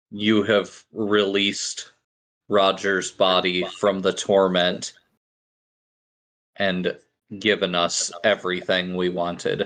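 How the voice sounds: Putting on a gravelly character voice, a man speaks fairly slowly and fairly low, with long, frequent pauses.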